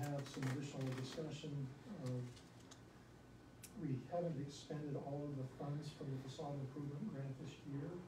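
There is audible room echo as a man speaks at medium pitch with fairly even intonation.

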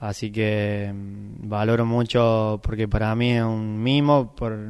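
A man's fairly low voice in a monotone, flat delivery. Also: quiet background. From Argentina, Córdoba province (Sacanta); Córdoba province, Argentina. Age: 20s. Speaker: bocce world champion. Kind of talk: interview. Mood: grateful, calm. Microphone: handheld.

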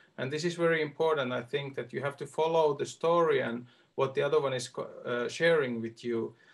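A man with a Finnish accent speaks at a fairly high pitch with fairly even intonation against a quiet background. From Finland. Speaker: arts agency advisor; workshop facilitator. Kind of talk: online workshop demonstration. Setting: video call. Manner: hesitant. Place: home room. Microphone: video call.

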